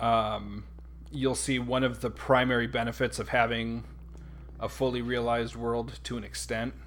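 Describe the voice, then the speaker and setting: Room echo can be heard as a man speaks. He has an American accent and a moderate pace. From North America. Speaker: gaming YouTuber. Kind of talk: let's play commentary. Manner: casual with many fillers.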